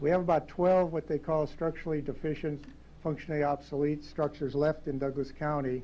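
A man with an American accent and a fairly high voice talks in a flat monotone with a dark, mellow tone. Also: fairly quick pace. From US Midwest. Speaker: county engineer. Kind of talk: presentation. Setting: council chamber. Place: hall. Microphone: podium.

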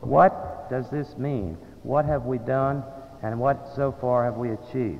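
Noticeable background noise behind a man's voice, its pitch varying in an ordinary way. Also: medium pitch for a man, fairly slow pace. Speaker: alumni association president. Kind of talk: formal fundraising speech.

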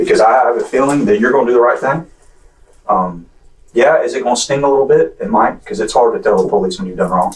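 This man talks at a very fast pace with an American accent. The background is quiet. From Clay County, Florida; Florida. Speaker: police detective. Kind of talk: police interrogation. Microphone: camera far.

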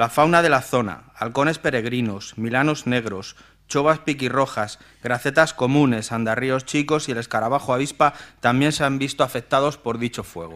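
A man talks with ordinary pitch variation at a moderate pace, the background quiet. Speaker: town councillor. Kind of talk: reading a formal motion. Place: hall. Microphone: podium.

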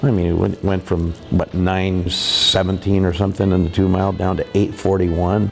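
Faint music plays behind a man whose voice is very deep and low. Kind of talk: interview answer. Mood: reminiscing, amused. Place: garden. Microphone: lapel.

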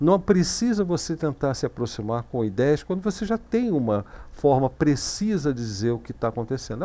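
Swinging very widely in pitch, a man with a dark, mellow tone speaks at a moderate pace. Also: hardly any pauses. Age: 50s. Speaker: Linux course instructor and streamer; Linux course instructor, streamer. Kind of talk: live-streamed technical tutorial. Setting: live stream with chat. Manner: casual, conversational. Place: home room. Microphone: headset.

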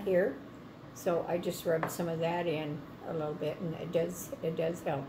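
The intonation stays fairly even. Noticeable background noise runs underneath. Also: woman, fairly low pitch for a woman, moderate pace. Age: old. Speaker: grandmother reviewing product. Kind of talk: interview answer. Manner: casual, hesitant. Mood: calm, relaxed. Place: kitchen. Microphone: phone near.

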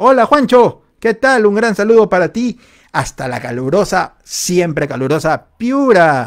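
A man speaks at a high pitch and a fairly slow pace, with very wide swings in pitch. The background is quiet. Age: 40s. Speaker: livestream host. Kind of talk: casual livestream chat. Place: home room. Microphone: studio mic.

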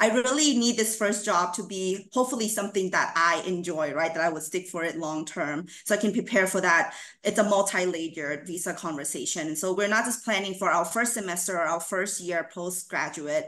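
Speaking at a fairly quick pace with hardly any pauses, a woman uses a bright, sharp tone and ordinary pitch variation against a quiet background. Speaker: university housing administrator. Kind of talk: conference presentation. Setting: video call. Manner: upbeat. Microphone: video call.

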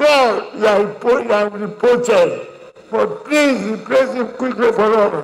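A man with a Nigerian accent speaks at a very slow pace in an extremely high pitch. His loudness holds very even, with ordinary pitch variation. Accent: Nigerian (Yoruba) English. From Nigeria (Yoruba). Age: 80s+. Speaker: elder statesman, leader of a Yoruba group. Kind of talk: funeral tribute speech. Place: hall.

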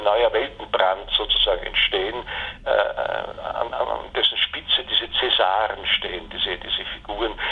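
A man speaks at a fairly slow pace. Noticeable background noise runs under his voice. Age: 60s. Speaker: philosophy professor. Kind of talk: interview. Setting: phone call. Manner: halting, many filler sounds.

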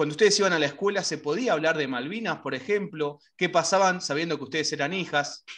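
A man with a Rioplatense accent, ordinary pitch variation, a very fast pace and hardly any pauses. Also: quiet background. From Argentina. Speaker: radio host. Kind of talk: interview. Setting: video call. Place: home room. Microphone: video call.

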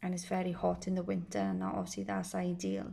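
The voice has a dark, mellow tone with vocal fry, ordinary pitch variation and a moderate pace. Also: woman.

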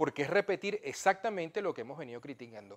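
A man speaks with a high pitch. His pitch swings very widely. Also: quiet background. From Venezuela. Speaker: historian and professor; professor. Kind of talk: political interview. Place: studio. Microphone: lapel.

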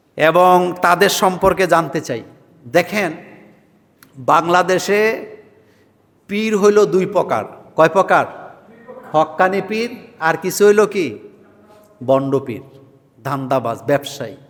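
A man talks in a high pitch. His pitch varies in an ordinary way. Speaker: Islamic preacher. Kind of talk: religious Q&A sermon. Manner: rhetorical call-and-response questions.

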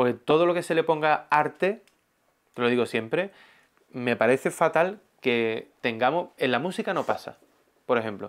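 Speaking at a moderate pace with lively intonation, a man leaves long, frequent pauses against a quiet background. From Spain. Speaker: art youtuber and painter; art youtuber. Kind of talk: casual interview chat. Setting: guest's home. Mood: animated, warm. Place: home room. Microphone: lapel.

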